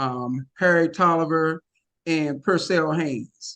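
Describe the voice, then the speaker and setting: Heard with an American accent, the voice has a dry, close sound with no echo. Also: man. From Washington, D.C. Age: 60s. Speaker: addiction counselor. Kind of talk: testimony. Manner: halting, many fillers.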